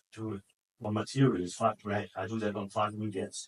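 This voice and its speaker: A man's medium-pitched voice with a German accent at a moderate pace, in a dry, close sound with no echo. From Germany. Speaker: sales trainer. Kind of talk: sales training talk. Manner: casual, anecdotal.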